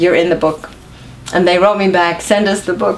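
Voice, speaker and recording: With an American accent, a woman speaks at a fairly low pitch and a fairly quick pace with fairly even intonation, amid noticeable background noise and audible room echo. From US Northeast, New York. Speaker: author and singer. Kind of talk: interview.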